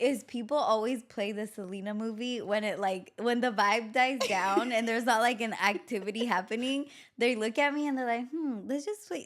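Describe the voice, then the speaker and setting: A woman with a Spanish accent speaks at a moderate pace, with hardly any pauses. Her voice is fairly high and animated, with ordinary pitch variation. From Mexico, raised in the US from age three. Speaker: podcast host. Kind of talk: casual chat.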